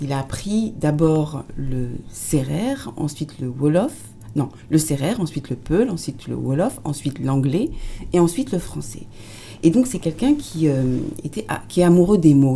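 A woman speaks with a very deep, low pitch and a dark, mellow tone. Her intonation is lively, and there is vocal fry. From France, Tours. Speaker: writer and former actress. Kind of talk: interview. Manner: hesitant, repeats words.

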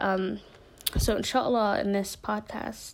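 The recording is very clean, with a silent background. A woman speaks at a medium pitch in an American accent. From US Midwest, Minneapolis (Somali community). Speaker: podcast host. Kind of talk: casual monologue. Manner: hesitant, many fillers.

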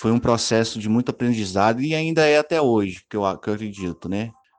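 Music plays in the background as a man talks. His voice is fairly low and his pace moderate. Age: 30s. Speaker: wheelchair user sharing personal story. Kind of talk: testimony. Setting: WhatsApp voice message.

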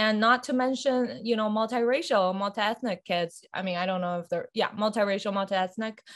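A woman's fairly high voice with a Chinese accent, ordinary pitch variation, hardly any pauses, and a quiet background. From China. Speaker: developmental psychology researcher. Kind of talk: casual interview. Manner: many fillers and hesitations.

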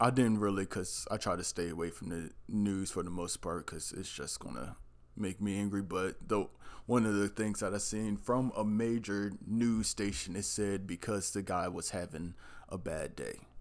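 On a very clean recording with a silent background, a man in an ordinary speaking voice speaks at a moderate pace and a fairly low pitch. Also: ordinary pitch variation. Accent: American. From Maryland. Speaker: podcast co-host. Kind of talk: casual chat.

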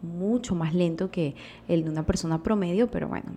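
This woman's tone is dark and mellow. She talks at a moderate pace with ordinary pitch variation. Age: 30s. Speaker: podcast host. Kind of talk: casual monologue.

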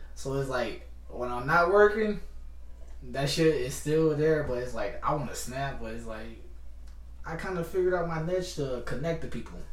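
Noticeable background noise is present. Over it, a man speaks at a moderate pace. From US West Coast. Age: 20s. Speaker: podcast co-host. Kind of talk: casual chat.

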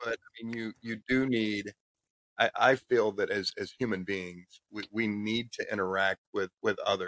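In an American accent, a man with an ordinary speaking voice talks at a fairly slow pace and medium pitch, with fairly even intonation and a dry, close sound with no echo. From United States. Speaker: podcast host. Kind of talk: interview.

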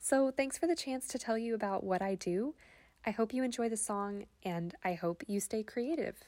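A woman's fairly high, dark, mellow voice at a moderate pace, with lively intonation. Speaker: medical resident and songwriter. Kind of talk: personal reflection monologue.

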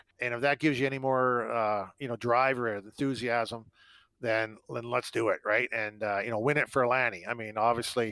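An ordinary speaking voice with a Canadian accent moves at a fairly quick pace with fairly even intonation, in a dry, close sound with no echo. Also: man. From Ontario, Canada (near Toronto). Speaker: retired hockey player. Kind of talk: interview. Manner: casual, many fillers.

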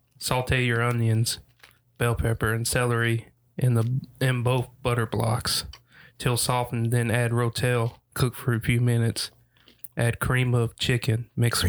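Recorded very cleanly against a silent background, a man speaks at a medium pitch and a fairly slow pace. His delivery is monotone and flat, with very even loudness. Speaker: podcast co-host. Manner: monotone, plain delivery.

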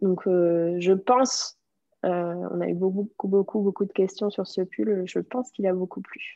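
A woman's fairly even intonation with music in the background. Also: medium pitch for a woman. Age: 20s. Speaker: hand-dyed yarn business owner. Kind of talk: interview. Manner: hesitant, many fillers.

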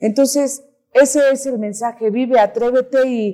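In a very clean recording with a silent background, a woman speaks at a high pitch with lively intonation in a Mexican accent. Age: 30s. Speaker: recovering addict. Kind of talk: interview testimony. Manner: animated.

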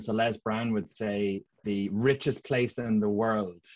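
A man speaks at a medium pitch in a flat monotone. The sound is dry and close, with no echo. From Ireland, Dublin. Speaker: leadership and mindset coach. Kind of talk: casual interview.

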